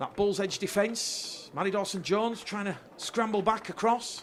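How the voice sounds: A man's high-pitched voice at a fairly slow pace, with ordinary pitch variation.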